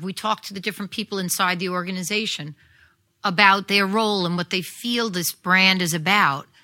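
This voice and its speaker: In a New York accent, a woman with a bright, sharp tone and medium pitch speaks at a fairly quick pace with ordinary pitch variation. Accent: New York (Staten Island). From New York City, Staten Island. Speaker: audio branding composer and producer. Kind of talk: live interview. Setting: stage with audience.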